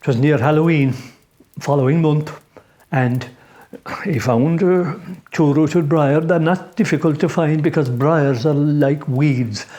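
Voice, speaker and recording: Fairly slow speech in an Irish accent, with long, frequent pauses. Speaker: traditional Irish storyteller. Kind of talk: folk tale storytelling. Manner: conversational, unhurried.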